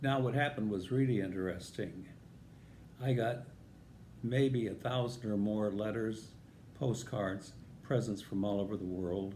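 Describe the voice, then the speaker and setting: In an American accent with a dark, mellow tone, the speaker shows ordinary pitch variation and takes long, frequent pauses amid audible room echo. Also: man, fairly low pitch for a man, moderate pace. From US Midwest, northern Illinois. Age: 80s+. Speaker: vlogger telling life stories. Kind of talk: personal storytelling.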